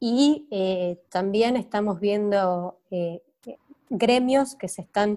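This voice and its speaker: A woman speaks at a medium pitch with ordinary pitch variation. Her tone is dark and mellow. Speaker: business sector representative. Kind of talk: interview.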